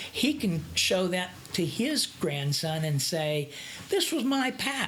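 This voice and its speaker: Over noticeable background noise, a woman at a medium pitch speaks at a very slow pace, her pitch swinging very widely while her loudness stays very even. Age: 60s. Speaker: actor. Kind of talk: interview. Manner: halting.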